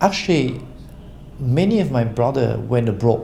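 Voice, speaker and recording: A man speaks at a medium pitch. Room echo is audible around his voice. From Cambodia. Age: 60s. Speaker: business association chairman. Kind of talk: interview. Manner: halting with many fillers.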